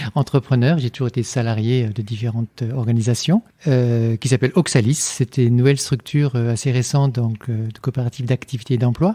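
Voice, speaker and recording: Dry and close with no echo, a man at medium pitch speaks at a very fast pace in a dark, mellow, somewhat breathy tone with ordinary pitch variation. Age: 60s. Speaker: engineer and philosopher, lecturer. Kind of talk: podcast interview. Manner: hesitant, many fillers and repetitions.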